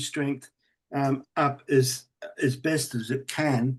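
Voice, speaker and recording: In a quiet background, a man speaks in a monotone, flat voice at a fairly high pitch. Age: 60s. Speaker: audience member with muscular dystrophy. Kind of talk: Q&A question. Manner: halting, many fillers.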